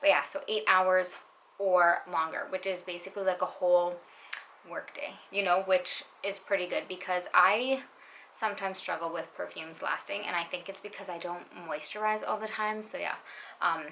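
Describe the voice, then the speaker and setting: A woman's medium-pitched voice at a moderate pace with fairly even intonation, over noticeable background noise. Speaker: beauty YouTuber, perfume reviewer. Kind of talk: casual product review. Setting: at home at night. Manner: quiet.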